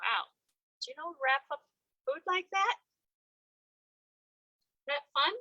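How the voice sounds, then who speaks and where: A woman speaks in a raised, projected voice at an extremely high pitch, her pitch swinging very widely. She goes fairly slowly, with long, frequent pauses. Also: dry, close sound with no echo. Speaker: library story-hour reader, grandmother figure. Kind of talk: children's picture-book reading with asides to the audience. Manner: conversational, hesitant with filler words.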